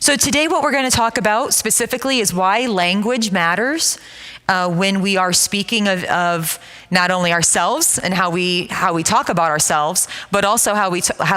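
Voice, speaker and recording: A woman speaks with lively intonation and very even loudness over noticeable background noise. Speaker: counselor and trauma-care presenter. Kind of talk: church seminar presentation. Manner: loud, projecting voice; excited, energetic.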